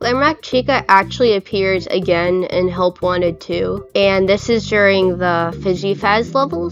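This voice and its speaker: With music in the background, a woman talks at a fairly slow pace in a medium pitch, with ordinary pitch variation. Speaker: video essayist. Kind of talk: video essay narration.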